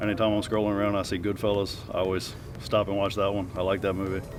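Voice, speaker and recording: With music in the background and audible room echo, a man talks at a very fast pace. His intonation is monotone and flat. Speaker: harness racing driver and trainer. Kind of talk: interview Q&A. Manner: soft-spoken.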